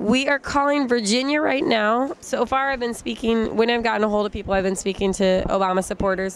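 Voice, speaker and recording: A woman with an American accent talks at a fairly quick pace, her pitch fairly high and its variation ordinary. Her loudness stays very even, she hardly pauses, and background noise is noticeable. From Iowa, US Midwest (Des Moines). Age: 20s. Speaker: schoolteacher and campaign volunteer. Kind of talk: casual interview.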